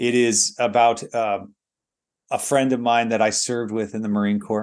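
Over a quiet background, a man with an American accent and an ordinary speaking voice talks at a moderate pace, medium in pitch with ordinary pitch variation. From United States. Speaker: pastor. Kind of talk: sermon.

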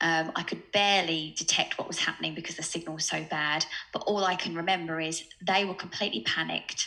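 Against noticeable background noise, a woman with an Essex accent talks at a very fast pace in a fairly low voice with fairly even intonation. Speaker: sales coach and startup co-founder. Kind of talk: casual interview chat.

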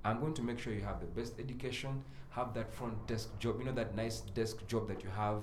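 Audible room echo surrounds a man speaking at a fairly quick pace. His pitch is medium, with fairly even intonation. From Uganda, Mbarara. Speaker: radio host and music A&R. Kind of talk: casual interview chat.

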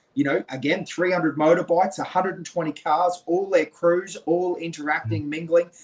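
Speaking in an Australian accent, a man with a high pitch talks at a fairly slow pace with hardly any pauses and ordinary pitch variation. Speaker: podcast co-host. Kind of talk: casual interview chat. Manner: animated.

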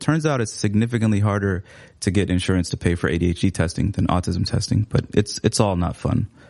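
A man talks at a fairly quick pace with a fairly low pitch. His pitch varies in an ordinary way. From Seattle, US. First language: Somali. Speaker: writer and teacher. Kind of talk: casual interview chat. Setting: studio.

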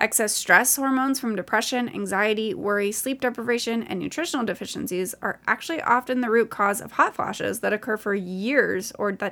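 Pitched fairly high, a woman's voice has a bright, sharp tone with vocal fry and ordinary pitch variation. She speaks at a fairly quick pace on a very clean recording with a silent background. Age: 20s. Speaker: podcast host and medical student. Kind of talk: solo educational podcast monologue.

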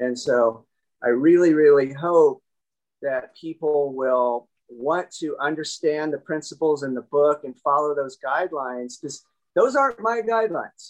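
This man has a plain, everyday voice with a fairly high pitch. His pitch variation is ordinary. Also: moderate pace. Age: 50s. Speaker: chiropractor / spine doctor and author. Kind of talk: interview.

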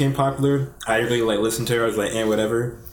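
A man's very fast, medium-pitched voice with an American accent, with noticeable background noise and audible room echo. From Alabama, US. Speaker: music producer. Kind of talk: casual chat.

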